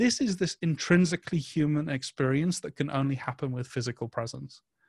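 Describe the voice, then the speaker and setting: The speech comes at a fairly quick pace with lively intonation, in a dry, close sound with no echo. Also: man, very clean recording, silent background. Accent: northern English. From northern England. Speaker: events agency content head. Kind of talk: interview. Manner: halting.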